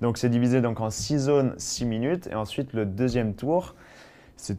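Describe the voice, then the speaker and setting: A man speaks with an ordinary speaking voice at medium pitch. His pace is moderate, and his pitch variation is ordinary. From Savoie, France. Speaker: trial rider. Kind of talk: interview.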